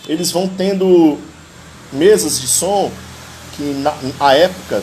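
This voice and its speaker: A man speaks in a high pitch. Background noise is noticeable. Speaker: live stream host, history teacher and amateur guitarist. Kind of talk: casual live stream talk about music. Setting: live stream.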